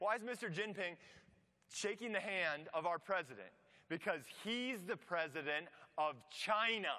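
A man with an American accent speaks in a high pitch with a bright, sharp tone and lively intonation. Long pauses come often. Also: fairly slow pace. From US Midwest (Iowa). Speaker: pastor. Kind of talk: sermon. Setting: church. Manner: halting.

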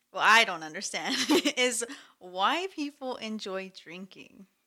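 The voice has a bright, sharp tone and lively intonation. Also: woman. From Mexico. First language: Spanish. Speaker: podcast guest. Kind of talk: casual chat.

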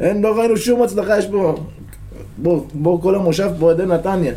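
With audible room echo around him, a man speaks at a moderate pace in a high pitch with ordinary pitch variation. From Israel, a moshav near Netanya. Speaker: football supporter, stand chant leader. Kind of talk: casual interview. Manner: animated.

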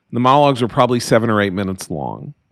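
On a very clean recording with a silent background, a man speaks with an American accent and a plain, everyday voice. His pitch is medium and his intonation lively. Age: 60s. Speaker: writer and political commentator. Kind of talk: interview.

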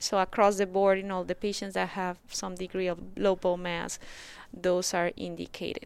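Her intonation flat and monotone, a woman speaks with a Spanish accent. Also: medium pitch for a woman, moderate pace. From Colombia. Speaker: rheumatologist. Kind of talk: interview.

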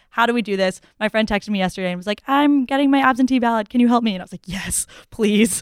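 A woman with an American accent, fairly high-pitched and very fast, with ordinary pitch variation, big swings in loudness, and a dry, close sound with no echo. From Massachusetts (Newton). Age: 20s. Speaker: college student. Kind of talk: casual chat.

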